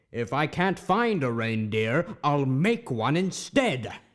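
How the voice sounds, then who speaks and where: A man does a put-on character voice, growling at a fairly high pitch. He delivers it at a fairly slow pace. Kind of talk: radio play reading. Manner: snarling, sneering.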